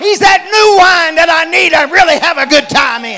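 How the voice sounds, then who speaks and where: Over crowd noise in the background, a man delivers a raised, projected voice in an animated tone at a fairly slow pace. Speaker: preacher. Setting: church with a congregation. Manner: animated, exhortative, emphatic; repeats phrases and punches key words, call-and-response.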